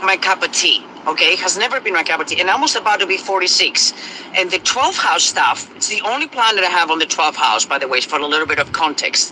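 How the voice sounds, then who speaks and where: Against noticeable background noise, a high-pitched man with a non-native accent speaks at a very fast pace, with lively intonation and very even loudness. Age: 40s. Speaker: astrology content creator. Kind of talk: casual monologue. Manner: hesitant, many fillers.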